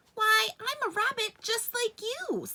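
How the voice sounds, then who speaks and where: The speaker puts on a squeaky character voice. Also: woman, extremely high pitch for a woman, fairly slow pace. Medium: read story.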